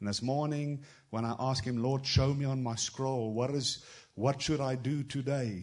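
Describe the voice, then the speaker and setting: The delivery is moderate in pace, and audible echo from the room can be heard. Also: man, medium pitch for a man, fairly even intonation. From South Africa. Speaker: travelling prophetic minister. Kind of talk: prophetic word in a church service. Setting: church with congregation.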